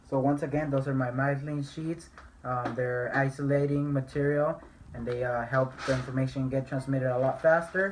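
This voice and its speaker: Against noticeable background noise, a man with a fairly high pitch speaks at a moderate pace in a monotone, flat way. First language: not English. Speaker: student. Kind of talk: tutorial. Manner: halting.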